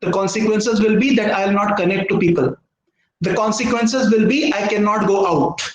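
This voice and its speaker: Audible room echo surrounds a man's high voice. He talks at a fairly quick pace. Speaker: professor. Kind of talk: lecture. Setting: video call.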